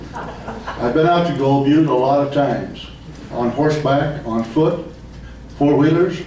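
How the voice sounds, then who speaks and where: At a very slow pace, a man speaks at a fairly high pitch, with audible room echo and noticeable background noise. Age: 70s. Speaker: public commenter at city council meeting. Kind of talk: public comment speech. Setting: city council meeting.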